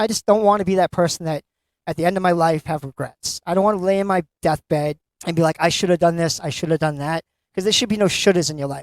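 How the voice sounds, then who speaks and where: In a Boston accent, a man talks very fast at a high pitch with ordinary variation, the sound dry and close with no echo. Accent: Boston-area. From Massachusetts. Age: 50s. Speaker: author. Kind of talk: interview. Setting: live event at a bookstore.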